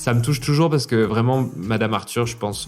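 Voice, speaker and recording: A man talks, his pitch moving in an ordinary way. Music can be heard behind him. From Toulouse area, France. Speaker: drag performer. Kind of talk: interview answer.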